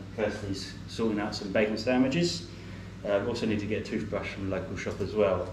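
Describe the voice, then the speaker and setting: A man with an English accent speaks at a fairly low pitch. Noticeable background noise and audible room echo fill the recording. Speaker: travel vlogger. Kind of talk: casual vlog talk to camera. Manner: mumbles a bit; hesitant, many fillers.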